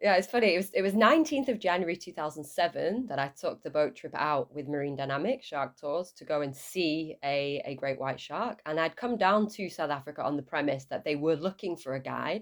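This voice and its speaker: In a northern English accent, a woman with a fairly low pitch talks at a fairly quick pace with lively intonation and hardly any pauses, on a very clean recording with a silent background. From northern England, Lancashire. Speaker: shark scientist. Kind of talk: podcast interview. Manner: hesitant, with fillers.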